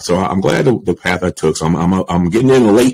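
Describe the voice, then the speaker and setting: A man's very deep, low voice with an American accent at a fairly quick pace. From Baltimore, Maryland. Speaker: media entrepreneur; podcast guest. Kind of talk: interview conversation. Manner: casual, filler-heavy. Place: home room. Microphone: studio mic.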